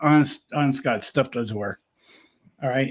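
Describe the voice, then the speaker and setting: With an American accent, a man talks at a fairly quick pace, his medium pitch showing ordinary variation. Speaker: podcast co-host. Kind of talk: casual chat. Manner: loud.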